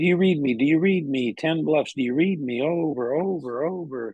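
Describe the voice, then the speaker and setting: The voice is a squeaky, put-on character voice. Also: man, fairly high pitch for a man, moderate pace. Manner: urgent, fast.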